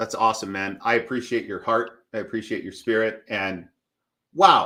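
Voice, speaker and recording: With an American accent, a man talks in a bright, sharp tone. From Michigan. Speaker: business coach. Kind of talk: interview.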